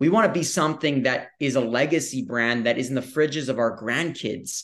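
A man speaks against a quiet background. His pitch variation is ordinary. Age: 20s. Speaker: co-founder of a snack company. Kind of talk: casual interview chat. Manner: animated.

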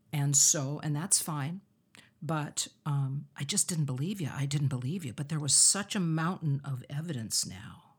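A woman's very deep, low voice, somewhat breathy, at a fairly slow pace with ordinary pitch variation, in a very clean recording against a silent background. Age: 60s. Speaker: singer and author. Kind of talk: interview.

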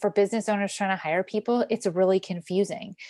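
At a fairly quick pace, a woman with a medium pitch and an unremarkable speaking voice talks in a dry, close sound with no echo and a quiet background. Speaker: operations consultant. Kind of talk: casual interview chat.

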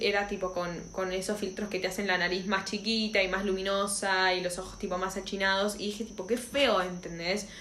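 A woman's medium-pitched voice in a Rioplatense accent at a fairly quick pace, with noticeable background noise and audible room echo. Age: 20s. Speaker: podcast co-host. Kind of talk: casual chat.

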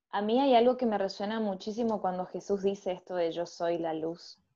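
With an Argentine accent, a woman speaks in a dark, mellow tone against a quiet background. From Argentina. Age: 30s. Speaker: educational psychologist and parish ministry leader. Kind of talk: faith discussion podcast.

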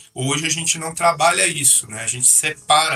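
A man's pitch varies in an ordinary way as he talks amid noticeable background noise. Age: 30s. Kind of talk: casual interview.

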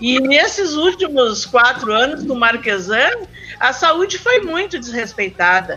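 A woman speaks at a fairly slow pace with a high pitch and lively intonation. Noticeable background noise runs under her voice. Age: 60s. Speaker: community health council member. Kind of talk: casual chat. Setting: remote call from home.

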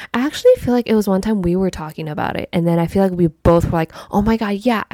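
A woman talks at a very fast pace with hardly any pauses. Her tone is dark and mellow, with ordinary pitch variation. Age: 20s. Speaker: podcast co-host. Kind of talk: casual chat.

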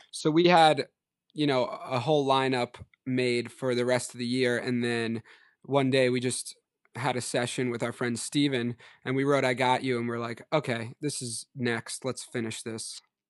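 A man with a plain, everyday voice and an American accent speaks at a medium pitch and a moderate pace, with fairly even intonation, in a dry, close sound with no echo over a quiet background. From Long Island, New York. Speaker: musician, songwriter and producer. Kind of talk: casual interview chat.

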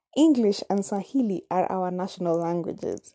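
A dark, mellow tone with lively intonation, a moderate pace, and a Kenyan accent. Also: woman. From Kenya, Nairobi. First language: Kamba. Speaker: podcaster. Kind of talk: personal storytelling monologue. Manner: casual, hesitant with fillers.

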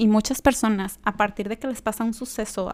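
A woman's voice at medium pitch, a normal speaking voice with ordinary pitch variation, at a moderate pace, in a very clean recording with a silent background. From Mexico, Jalisco. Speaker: podcast host. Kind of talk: personal monologue.

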